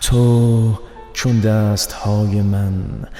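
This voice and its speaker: A man talks very slowly, his pitch fairly low. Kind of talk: poetry reading.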